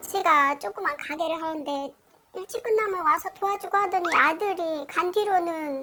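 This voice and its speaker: A tearful woman's voice at an extremely high pitch, with ordinary pitch variation and a moderate pace, against noticeable background noise. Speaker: grieving mother seeking consultation. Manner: tearful, pleading.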